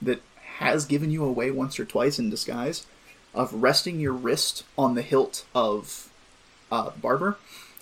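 The text is read aloud in a natural voice.

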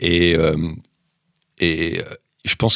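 Dry and close with no echo, this very clean recording of a man has a silent background. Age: 50s. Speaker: football journalist. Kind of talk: casual chat. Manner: halting.

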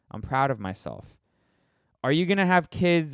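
With an American accent, a man talks at a moderate pace with ordinary pitch variation on a very clean recording with a silent background. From Florida. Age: 30s. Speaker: podcast host. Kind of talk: solo commentary. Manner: halting, many fillers and restarts.

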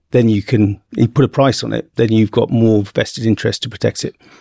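The speaker has a southern English accent and talks at a fairly quick pace with monotone, flat intonation. The sound is dry and close, with no echo. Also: man. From central England (Bedford). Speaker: marine zoology professor. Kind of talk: interview.

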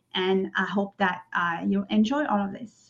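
A woman speaks in a French accent with a monotone, flat intonation. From France, French Riviera. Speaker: singer-songwriter. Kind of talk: interview. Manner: halting.

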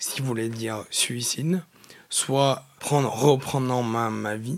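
Keeping a medium pitch and fairly even intonation, a man speaks at a very slow pace. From France, Nord-Isère near Lyon. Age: 20s. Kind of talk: interview testimony. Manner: halting, repeats words.

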